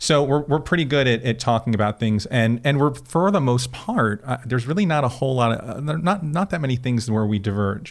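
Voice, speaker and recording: A man with an American accent talks at a fairly quick pace, with hardly any pauses and lively intonation. His pitch is medium, and he has an ordinary speaking voice. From Florida. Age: 40s. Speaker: podcast guest, professional talker. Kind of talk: casual interview.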